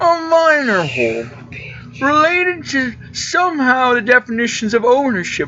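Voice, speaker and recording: This is a put-on character voice that sounds female and is high-pitched for a woman. It moves at a moderate pace. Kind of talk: read-aloud game role voice. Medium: game stream. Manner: brisk, professional.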